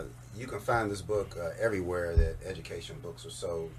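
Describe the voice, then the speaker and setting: An American accent marks this man's speech, with very wide pitch swings. Noticeable background noise sits underneath. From Cincinnati, Ohio. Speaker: educator and author. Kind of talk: radio interview answer.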